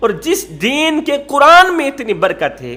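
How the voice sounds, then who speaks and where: A raised, projected voice with very wide pitch swings comes through over noticeable background noise. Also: man. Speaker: Islamic preacher. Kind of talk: Islamic sermon (bayan) telling a moral story.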